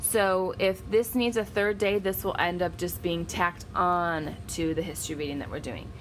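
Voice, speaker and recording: Her voice has a fairly low pitch, and she is a woman. Ordinary pitch variation shapes her speech. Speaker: homeschooling parent and video blogger. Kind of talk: tutorial. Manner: fast.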